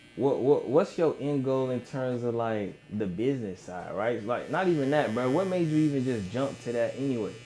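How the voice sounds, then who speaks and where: Audible room echo surrounds a voice at a moderate pace with ordinary pitch variation and hardly any pauses. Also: man, medium pitch for a man. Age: 20s. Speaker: podcast host and wealth-building entrepreneur. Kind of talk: casual interview conversation. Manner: stuttering at times.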